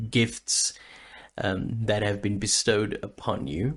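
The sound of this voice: A man's slow, fairly low voice with fairly even intonation and vocal fry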